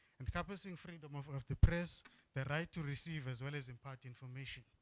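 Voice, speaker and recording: Somewhat breathy and fairly high in pitch, a man speaks at a fairly quick pace with ordinary pitch variation in a dry, close sound with no echo. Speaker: agency presenter at workshop. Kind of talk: presentation. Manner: fast.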